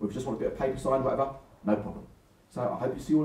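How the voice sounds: Here, a natural reading voice comes through.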